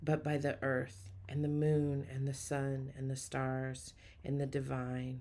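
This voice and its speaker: Her tone warm and her intonation fairly even, a woman speaks at a very deep, low pitch. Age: 40s. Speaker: spiritual podcast host and preacher. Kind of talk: inspirational spiritual talk. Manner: warm, affirming, repetitive.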